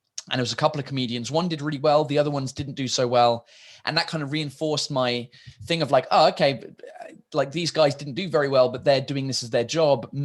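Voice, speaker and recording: In a British accent, a man talks at a very fast pace with fairly even intonation. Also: fairly high pitch for a man. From England. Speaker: stand-up comedian. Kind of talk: interview answer.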